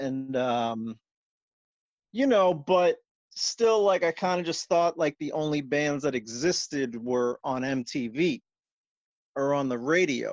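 A man with an American accent speaks at a very slow pace. His pitch is fairly high, and the background is quiet. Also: dry, close sound with no echo. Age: 40s. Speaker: punk musician. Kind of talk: casual chat. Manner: animated.

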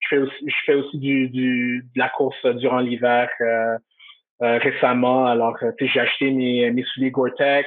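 Speaking at a fairly slow pace, the man has a medium pitch. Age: 30s. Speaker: customer service director. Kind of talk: interview. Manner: halting.

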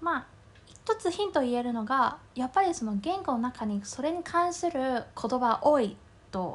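A woman with a Mandarin Chinese accent speaks in a high pitch with very wide pitch swings. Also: moderate pace. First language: Mandarin Chinese (speaking Japanese). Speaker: podcast co-host. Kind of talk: casual chat.

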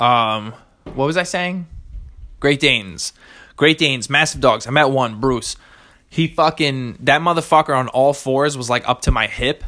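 A man's fairly high voice with a bright, sharp tone. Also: ordinary pitch variation, moderate pace. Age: 20s. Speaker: solo podcast host. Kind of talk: casual monologue. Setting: home recording. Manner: hesitant, many fillers.

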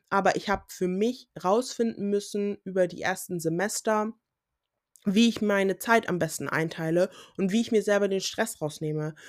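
On a very clean recording with a silent background, a woman of medium pitch talks at a moderate pace with ordinary pitch variation. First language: English (Pidgin at home) (speaking German). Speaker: podcaster, student. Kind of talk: solo podcast monologue. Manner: casual with English interjections.

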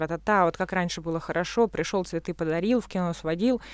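A woman's normal speaking voice at medium pitch, with ordinary pitch variation and a fairly quick pace, on a very clean recording with a silent background. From Russia. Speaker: architect and artist. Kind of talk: casual chat.

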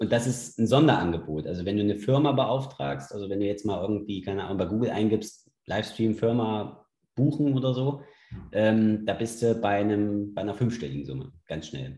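The tone is dark and mellow, the intonation lively and the pace moderate. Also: man, fairly low pitch for a man. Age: 30s. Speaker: sports league founder and CrossFit gym owner. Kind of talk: casual interview.

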